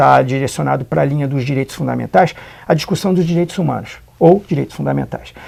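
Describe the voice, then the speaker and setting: This man's tone is dark and mellow. The movement of his pitch is ordinary. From interior of São Paulo state, Brazil. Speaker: law professor. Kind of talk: interview. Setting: studio. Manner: hesitant, many fillers.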